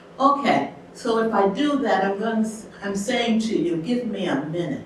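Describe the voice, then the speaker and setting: Amid noticeable background noise and audible room echo, a woman talks with lively intonation. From US Midwest, Detroit. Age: 70s. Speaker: storyteller. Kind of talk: personal storytelling performance.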